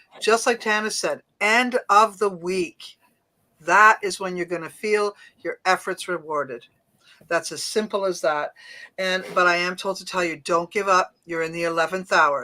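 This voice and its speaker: In a Canadian accent, a woman speaks at a moderate pace and medium pitch with ordinary pitch variation and a bright, sharp tone, on a very clean recording with a silent background. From Canada. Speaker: psychic medium. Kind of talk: live psychic reading. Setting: live stream.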